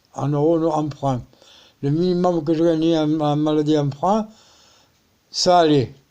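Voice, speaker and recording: Here a man's voice has a dark, mellow tone and a fairly high pitch. His intonation stays fairly even. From Spain. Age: 70s. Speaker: pensioner appealing for help. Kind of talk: personal appeal vlog. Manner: halting.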